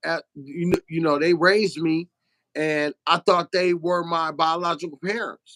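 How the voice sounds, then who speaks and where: A man with a New Orleans accent talks at a fairly slow pace in a high, bright, sharp voice. His intonation is monotone and flat, in a dry, close sound with no echo. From Detroit, Michigan. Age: 50s. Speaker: truck owner-operator and author. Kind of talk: interview. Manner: halting.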